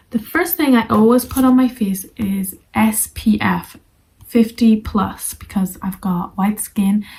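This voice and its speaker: At a very slow pace, a woman speaks in a somewhat breathy, fairly high voice with ordinary pitch variation. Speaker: English teacher. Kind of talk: tutorial.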